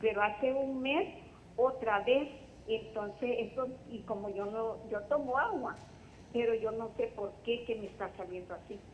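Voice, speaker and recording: Here is a woman with an unremarkable speaking voice and a fairly high pitch. She speaks at a fairly slow pace with ordinary pitch variation. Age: 60s. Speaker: caller with health question. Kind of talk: phone-in question. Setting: phone call.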